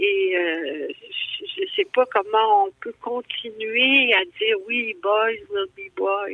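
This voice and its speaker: Talking at a very slow pace, a woman with fairly high pitch shows very wide pitch swings and big swings in loudness. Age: 70s. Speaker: actress and novelist. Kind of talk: interview. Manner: halting, many hesitations.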